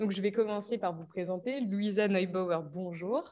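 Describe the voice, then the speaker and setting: A woman speaks at a moderate pace in a medium pitch with ordinary pitch variation. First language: German (speaking French). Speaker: panel moderator. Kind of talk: moderated panel discussion. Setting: conference hall with audience, streamed on Zoom.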